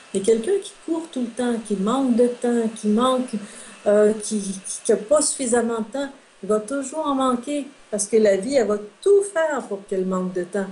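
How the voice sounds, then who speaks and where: Over noticeable background noise, a woman speaks at a moderate pace with a fairly high pitch and lively intonation. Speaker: metaphysician and relationship consultant. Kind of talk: interview. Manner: hesitant fillers.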